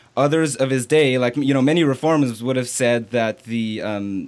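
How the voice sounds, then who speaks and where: At a moderate pace, a man delivers his words. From Canada. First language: French. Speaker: Bible student. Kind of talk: casual interview. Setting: online livestream.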